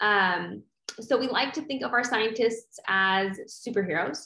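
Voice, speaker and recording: Against a quiet background, a woman with a fairly high pitch and lively intonation speaks in a normal speaking voice. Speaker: podcast co-host. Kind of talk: interview.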